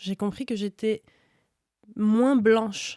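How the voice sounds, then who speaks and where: A woman's dark, mellow voice at a very slow pace, dry and close with no echo, in a very clean recording with a silent background. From France, Iranian parents. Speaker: slam poet. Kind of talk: casual interview, personal testimony.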